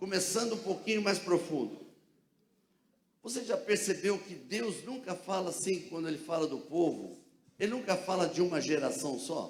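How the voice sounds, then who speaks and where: Audible room echo carries a man's high pitch and lively intonation. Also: moderate pace. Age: 70s. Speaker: pastor. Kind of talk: sermon. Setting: church. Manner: animated.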